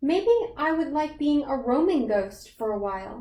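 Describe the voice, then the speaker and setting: A woman's high-pitched, put-on character voice. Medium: read story. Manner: soft, polite.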